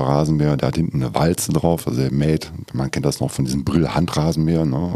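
Very deep, low male voice with fairly even intonation at a moderate pace, plus noticeable background noise. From Lower Rhine, Germany (Schiefbahn). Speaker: utility company department head. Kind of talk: casual interview chat. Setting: studio.

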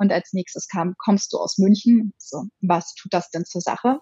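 A woman's medium-pitched, somewhat breathy voice rises and falls in a normal way. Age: 30s. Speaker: sex blogger. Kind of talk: casual interview.

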